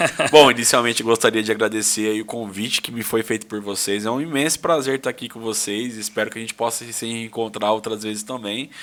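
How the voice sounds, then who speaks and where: Talking at a very fast pace with hardly any pauses, a man with a medium pitch shows big swings in loudness. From Brazil. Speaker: lawyer and businessman. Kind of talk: casual podcast interview. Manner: animated, informal storytelling.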